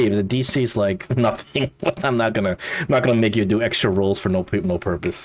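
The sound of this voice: An unforced reading voice with pitch that moves in an ordinary way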